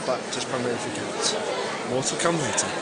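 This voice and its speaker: A man talks at a very fast pace. Room echo is audible, with crowd noise in the background. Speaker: vlogger. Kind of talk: vlog narration. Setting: outdoors and at an event in London.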